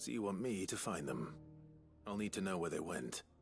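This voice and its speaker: Over clear music in the background, a man in a put-on character voice speaks at a very deep, low pitch and a moderate pace, raspy and calm in tone, with lively intonation and very even loudness. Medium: video game. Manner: calm, dry.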